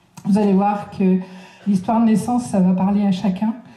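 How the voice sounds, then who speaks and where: In audible room echo, a woman speaks at a moderate pace with monotone, flat intonation. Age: 60s. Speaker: speaker on personal development. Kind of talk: lecture. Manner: halting.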